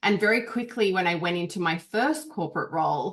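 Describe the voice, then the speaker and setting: Showing ordinary pitch variation, a woman with an Australian accent speaks at a fairly low pitch. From Australia, Canberra. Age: 30s. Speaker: business coach. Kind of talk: interview.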